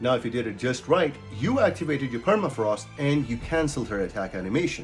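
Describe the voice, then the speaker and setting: With music in the background, a man talks fairly quickly at a medium pitch, his pitch swinging very widely. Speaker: gaming guide creator. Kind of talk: game tutorial narration.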